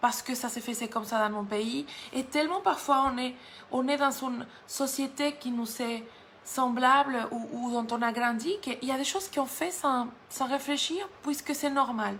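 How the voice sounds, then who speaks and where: A woman's high voice at a moderate pace, with ordinary pitch variation and audible room echo. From Mexico. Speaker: guest preacher. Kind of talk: sermon. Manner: halting, with frequent repetitions.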